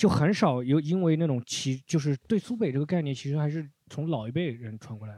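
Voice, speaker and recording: A man with a fairly high pitch and a dark, mellow tone talks at a fairly quick pace with hardly any pauses. His intonation is lively, his loudness swings widely, and the recording is very clean with a silent background. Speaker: comedy podcast host. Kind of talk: casual chat. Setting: recording room with live audience. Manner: stumbles over words.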